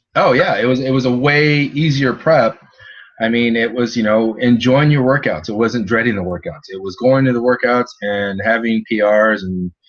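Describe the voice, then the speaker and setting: A man with a normal speaking voice and an American accent talks with ordinary pitch variation. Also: medium pitch for a man, moderate pace. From California. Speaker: nutrition coach, former bodybuilder and chef. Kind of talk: interview conversation.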